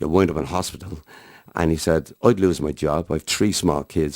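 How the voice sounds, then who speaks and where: With a Dublin accent, a man speaks in a very deep, low pitch. The recording is very clean, with a silent background. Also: dry, close sound with no echo. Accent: Dublin Irish. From Ireland, Dublin. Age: 60s. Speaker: harmonica player. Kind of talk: interview.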